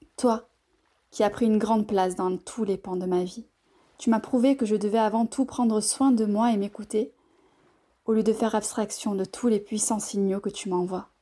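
A woman's fairly high voice with a dark, mellow tone, fairly even intonation and long, frequent pauses, in a very clean recording with a silent background. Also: moderate pace. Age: 30s. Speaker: journalist and author. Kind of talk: reading aloud own text; personal health testimony.

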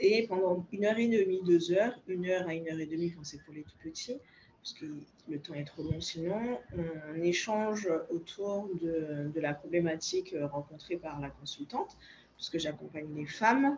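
With ordinary pitch variation and a moderate pace, this woman uses a normal speaking voice. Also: fairly low pitch for a woman, big swings in loudness. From Guadeloupe. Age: 30s. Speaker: naturopath. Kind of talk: interview.

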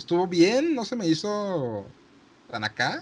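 A man with a Mexican accent at a fairly slow pace, with very wide pitch swings. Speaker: podcast host. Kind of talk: casual chat.

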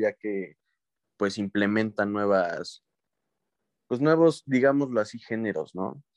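At a fairly slow pace and medium pitch, a man with a Mexican accent speaks with ordinary pitch variation in a dry, close recording with no echo and a quiet background. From Mexico, rural ranch. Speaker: podcast co-host. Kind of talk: casual chat.

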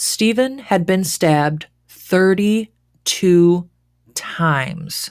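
Over a silent background on a very clean recording, a woman speaks with a fairly low pitch. Her tone is serious, and her pitch variation is ordinary. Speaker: true crime podcast host. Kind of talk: true-crime narration, scripted storytelling with casual asides. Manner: measured, serious storytelling tone, dips into casual, conversational asides; dramatic, incredulous when commenting.

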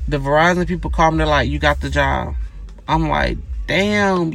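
Against noticeable background noise and audible room echo, a man talks at a moderate pace. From US South, Gainesville, Georgia. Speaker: podcast host. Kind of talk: casual storytelling monologue. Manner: conversational, many fillers.

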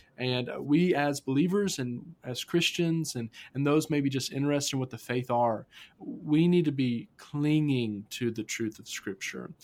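In an American accent, a man with an unremarkable speaking voice talks at a moderate pace with fairly high pitch, ordinary pitch variation and big swings in loudness. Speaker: student ministry pastor. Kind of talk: casual podcast chat about faith.

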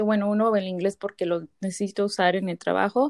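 A woman talks at a moderate pace with a medium pitch. The recording is very clean with a silent background, and the sound is dry and close with no echo. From Mexican-American family from small rural town in Mexico. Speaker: podcast co-host. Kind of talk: casual chat.

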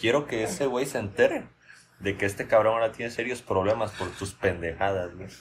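A man speaks at a moderate pace with medium pitch and ordinary pitch variation. His voice is somewhat breathy. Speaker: podcast host. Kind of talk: casual comedic chat.

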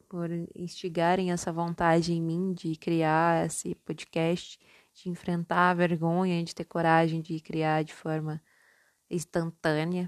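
A woman speaks very slowly at a fairly low pitch in a monotone, flat way. The background is quiet and the sound is dry and close with no echo. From Minas Gerais, Brazil (born in São Paulo). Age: 20s. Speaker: podcast host, psychology student. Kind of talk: casual solo monologue. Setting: at home, homemade recording.

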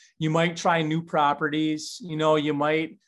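A man speaks at a moderate pace in a fairly high pitch, against a quiet background. He has an ordinary speaking voice. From Upper Michigan. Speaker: deer hunter. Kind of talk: casual chat.

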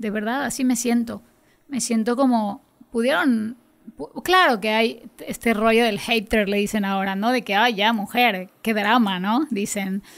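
A woman with an ordinary speaking voice, fairly high pitch, ordinary pitch variation and a fairly slow pace. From Yucatán, Mexico (coastal village). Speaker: singer-songwriter. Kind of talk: interview.

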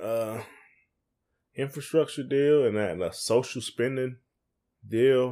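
On a very clean recording with a silent background, a man with a Southern US accent speaks with fairly even intonation. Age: 40s. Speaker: podcast co-host. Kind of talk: casual chat. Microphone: USB microphone, sound issues.

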